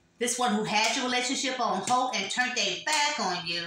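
A woman speaks at a high pitch amid audible room echo and noticeable background noise. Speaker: tarot reader. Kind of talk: tarot reading monologue. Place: home room. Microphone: phone near.

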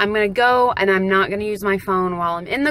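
A woman talks at a very fast clip, with ordinary rise and fall in pitch. The sound is dry with no echo, over light background noise. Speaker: vlogger. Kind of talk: casual vlog chat. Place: car. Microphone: phone near.

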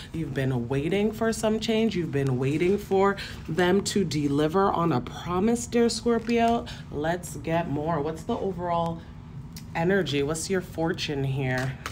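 A woman's fairly low voice with lively intonation at a fairly slow pace, against noticeable background noise. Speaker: tarot reader. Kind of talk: tarot reading commentary.

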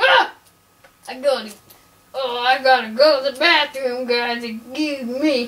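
A cartoonish character voice that sounds female, pitched high, moves at a very slow pace with long, frequent pauses. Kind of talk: comic overacting. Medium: puppet show. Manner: gruff, blustery, gleeful. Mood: urgent, embarrassed.

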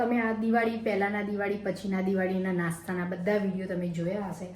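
A woman speaks at medium pitch with ordinary pitch variation. Both noticeable background noise and audible room echo can be heard. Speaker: vlogger. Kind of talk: casual vlog narration.

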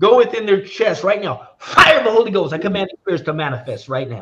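Swinging very widely in pitch, a man's voice comes through with a bright, sharp tone. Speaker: prayer leader. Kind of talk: deliverance prayer, fervent. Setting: online live prayer session. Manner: fervent, repetitive; emphatic, commanding. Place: home room. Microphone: webcam.

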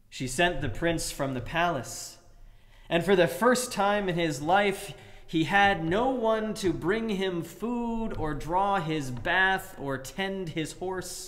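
The speaker is a man with a high pitch. He goes at a very slow pace with ordinary pitch variation. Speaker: preacher. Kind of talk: sermon delivering a fairy tale. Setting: livestream sermon during church closure. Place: church. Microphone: webcam.

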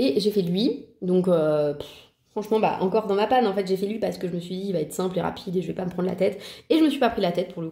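At a very fast pace, a woman speaks at a medium pitch with a dark, mellow tone and ordinary pitch variation. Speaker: colouring hobby vlogger. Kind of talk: casual vlog monologue. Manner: casual, relaxed, hesitant with filler words.

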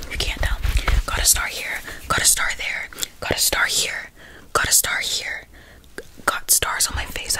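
A soft-spoken woman whispering at a moderate pace, with light background noise. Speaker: ASMR creator. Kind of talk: soft ASMR chat to viewer. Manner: soft close-mic ASMR whisper. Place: home room. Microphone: studio mic.

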